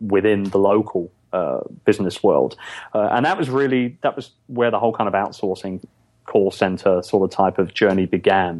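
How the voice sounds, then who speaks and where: A man with a London accent speaks at a fairly slow pace and a fairly low pitch. His pitch varies in an ordinary way, and his loudness stays very even. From London, England. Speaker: podcast guest, business owner.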